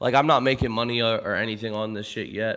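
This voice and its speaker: These words come out rather quickly. They carry an American accent. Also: man. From Pittsburgh, Pennsylvania. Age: 20s. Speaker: streamer. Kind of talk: casual chat. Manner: animated.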